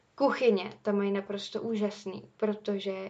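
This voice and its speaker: Through noticeable background noise, a woman with a medium pitch talks at a fairly slow pace in a monotone, flat intonation. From Czech Republic. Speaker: university student podcaster. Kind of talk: casual monologue.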